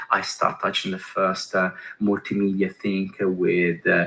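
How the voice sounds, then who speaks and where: A man with an Italian accent talks at a fairly slow pace. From Italy, Milan. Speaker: design executive, keynote speaker. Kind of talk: conference keynote talk. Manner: halting, many fillers.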